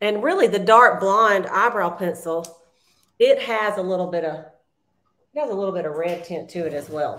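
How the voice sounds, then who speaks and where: In a Southern US accent, a woman speaks at a moderate pace with a medium pitch and ordinary pitch variation. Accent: Southern US (Georgia). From US South, South Georgia. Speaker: beauty consultant, makeup tutorial host. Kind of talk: makeup tutorial livestream, casual. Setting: video livestream. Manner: chatty, laughs often.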